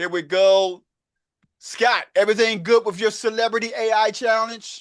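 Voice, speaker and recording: A man with a Baltimore accent in an animated tone, with a dry, close sound with no echo and a quiet background. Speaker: real estate and AI coach. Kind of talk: online group coaching meeting. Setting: video call. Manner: casual, animated.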